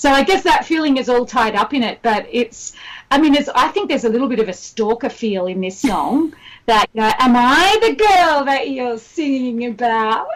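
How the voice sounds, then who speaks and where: At a moderate pace, a woman with a high pitch and an Australian accent talks with very wide pitch swings. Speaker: singer-songwriter. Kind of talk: radio interview. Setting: remote call from Australia.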